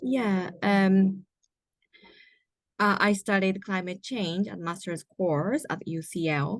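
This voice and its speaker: Speaking with a Japanese accent, a woman has a medium pitch and ordinary pitch variation. Her pace is very slow, with long, frequent pauses. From Japan, Nagoya and Kobe. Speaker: environmental writer and graduate student. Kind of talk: interview. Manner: halting, many fillers.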